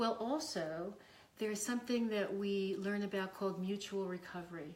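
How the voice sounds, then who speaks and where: Audible room echo surrounds a woman talking at a medium pitch. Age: 60s. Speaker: psychotherapist and university faculty. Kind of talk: casual interview. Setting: in her home. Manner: halting, with fillers.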